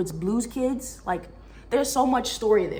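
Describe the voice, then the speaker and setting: A woman's animated tone with ordinary pitch variation, amid noticeable background noise and audible room echo. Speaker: book reviewer. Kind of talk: casual chat. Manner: fast.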